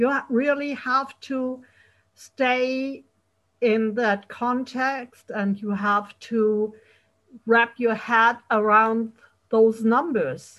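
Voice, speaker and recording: Talking at a very slow pace, a woman keeps a fairly high pitch and fairly even intonation. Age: 50s. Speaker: podcast host. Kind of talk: casual interview.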